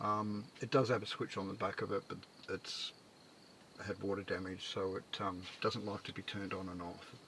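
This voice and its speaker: A man mumbles quietly at a moderate pace in a fairly low voice. His tone is bright and sharp, his intonation monotone and flat. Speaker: micro-camper builder living in his camper. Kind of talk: casual talk to camera. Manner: mumbling, rambling, quiet; hesitant, many fillers.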